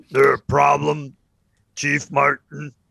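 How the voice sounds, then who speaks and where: A man does a put-on character voice that is raspy, fairly high in pitch, and flat and monotone. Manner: challenging, confrontational.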